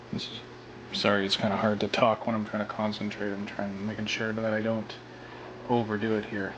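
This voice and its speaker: A quiet, fairly low-pitched man at a fairly quick pace, flat and monotone, with noticeable background noise and audible room echo. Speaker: prop maker. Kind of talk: tutorial. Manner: casual, hesitant with fillers; quiet while concentrating.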